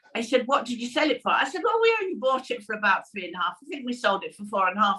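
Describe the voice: A woman talks at a fast pace with a fairly high pitch. Her tone is bright and sharp, and her pitch swings widely.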